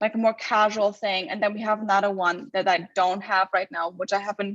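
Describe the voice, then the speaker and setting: A woman with a German accent at a fairly quick pace. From Germany. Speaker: shoe company co-founder. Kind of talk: casual chat. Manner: hesitant, many fillers.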